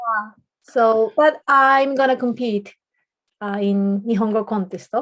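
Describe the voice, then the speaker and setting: Speaking very slowly with a Japanese accent, a woman shows ordinary pitch variation. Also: fairly high pitch for a woman. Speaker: podcast co-host, public speaking club member. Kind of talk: casual chat.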